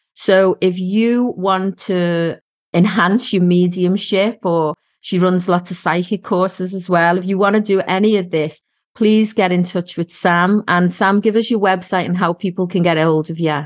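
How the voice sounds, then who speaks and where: Against a quiet background, a woman with a Scouse accent talks at a moderate pace, her medium pitch kept in fairly even intonation. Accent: Scouse (Liverpool English). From Liverpool, England. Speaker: psychic medium and podcast host. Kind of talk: casual chat.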